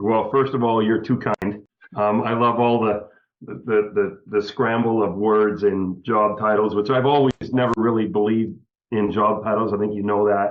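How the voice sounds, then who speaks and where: With a Canadian accent, a man talks at a moderate pace in an ordinary speaking voice, fairly low in pitch with fairly even intonation. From Canada, small town. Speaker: business coach. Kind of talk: podcast interview.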